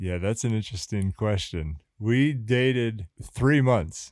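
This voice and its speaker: Heard on a very clean recording with a silent background, a man with a plain, everyday voice speaks at a fairly low pitch and fairly slow pace, his intonation lively. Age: 40s. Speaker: church worker and married guest. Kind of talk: casual interview.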